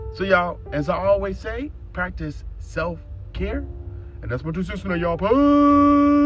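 Music plays in the background as a man talks at a moderate pace. His tone is animated. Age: 40s. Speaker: motivational podcast host. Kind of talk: solo motivational podcast monologue.

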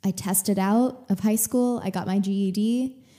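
With an American accent, a woman speaks very slowly at a medium pitch, her tone dark and mellow, somewhat breathy, with fairly even intonation. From Texas. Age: 20s. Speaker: podcast host, actress and yoga teacher. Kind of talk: casual monologue. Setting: home living room. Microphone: good podcasting microphone.

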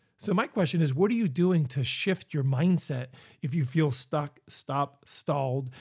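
With an American accent, a man talks in a fairly high, somewhat breathy voice with ordinary pitch variation, recorded very cleanly against a silent background. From Northeast Pennsylvania. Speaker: business coach and podcast host. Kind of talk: motivational monologue.

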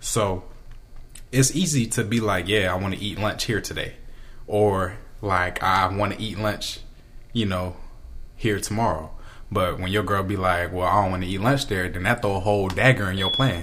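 Speaking at a moderate pace with long, frequent pauses, a man with a fairly low pitch keeps his intonation fairly even, and audible room echo surrounds him. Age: 20s. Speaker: college student. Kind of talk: casual chat.

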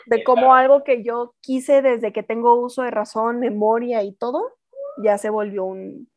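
An ordinary speaking voice. It moves at a fairly slow pace with fairly even intonation. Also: woman, fairly high pitch for a woman. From Mexico, Chihuahua. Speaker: voice actress. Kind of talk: casual interview.

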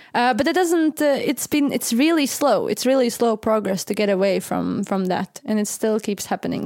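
This is a woman with an unremarkable speaking voice and a fairly high pitch. Her pitch variation is ordinary, and the sound is dry and close with no echo. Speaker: podcast host. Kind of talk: casual chat.

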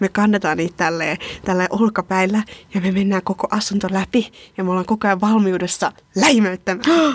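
A woman's plain, everyday voice at medium pitch, moderate in pace with ordinary pitch variation, very even in loudness, in a dry, close sound with no echo. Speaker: podcast host. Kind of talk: casual chat. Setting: studio.

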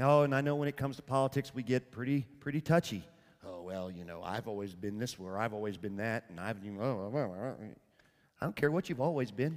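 A man's warm, animated voice in a Southern US accent, fairly quick in pace with big swings in loudness. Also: medium pitch for a man, lively intonation. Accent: Southern US, rural cowboy. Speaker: preacher. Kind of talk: sermon. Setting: church with congregation. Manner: earnest, warm and conversational, pastoral; plain-spoken, humorous, animated storytelling.

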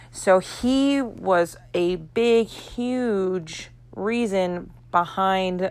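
A woman speaks at a medium pitch with ordinary pitch variation. The recording is very clean, its background silent. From Florida. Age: 30s. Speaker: podcast host and martial arts instructor. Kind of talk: casual monologue.

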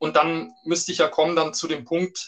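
A man with a plain, everyday voice talks at a moderate pace and a fairly high pitch. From Germany, Upper Palatinate (Bavaria). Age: 50s. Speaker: business journalist and author. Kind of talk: interview.

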